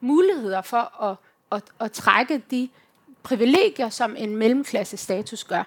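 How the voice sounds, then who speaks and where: A woman's voice, high in pitch. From Denmark, Herning (West Jutland). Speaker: youth organisation leader and activist. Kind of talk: live panel conversation.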